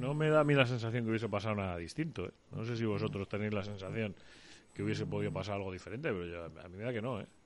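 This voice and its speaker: A man's fairly low voice with lively intonation at a very fast pace. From Almería, Andalusia, Spain. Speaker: sports radio host. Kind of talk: radio sports show.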